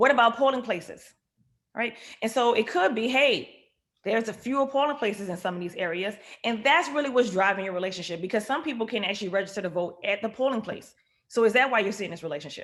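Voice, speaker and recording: Speaking at a very fast pace in a New Orleans accent, a woman uses a fairly high pitch, an animated tone and lively intonation. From Louisiana, New Orleans. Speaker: economist. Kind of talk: lecture.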